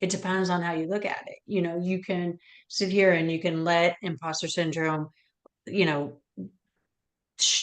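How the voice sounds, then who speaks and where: A woman speaks at a moderate pace in a fairly low pitch. She has an ordinary speaking voice. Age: 50s. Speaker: webinar host. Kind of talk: webinar interview.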